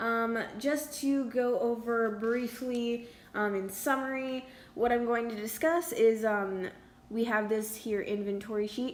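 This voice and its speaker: Delivery is fairly slow, and the intonation stays fairly even. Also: woman, fairly high pitch for a woman. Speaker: student art sale organiser. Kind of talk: screen-recorded tutorial. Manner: hesitant, many fillers.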